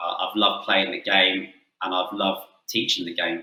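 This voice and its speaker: A man speaks with an English accent. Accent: English-sounding. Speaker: football coach. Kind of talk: webinar presentation; interview answer.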